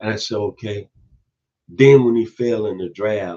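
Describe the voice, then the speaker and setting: A man with a Memphis accent speaks at a moderate pace in a fairly low pitch. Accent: Southern US (Memphis). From US South, Memphis, Tennessee. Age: 60s. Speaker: football commentator youtuber. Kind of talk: casual opinion monologue.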